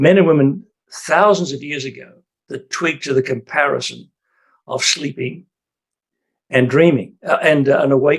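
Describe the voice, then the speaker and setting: A man with an Australian accent, fairly high pitch, ordinary pitch variation, moderate pace and long, frequent pauses. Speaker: retired priest. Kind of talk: casual chat. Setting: video call. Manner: halting.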